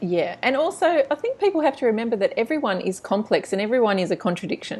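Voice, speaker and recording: With an Australian accent, a woman speaks at a fairly quick pace. Her fairly high pitch moves in very wide swings. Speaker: book blog interviewer. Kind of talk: interview. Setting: video call.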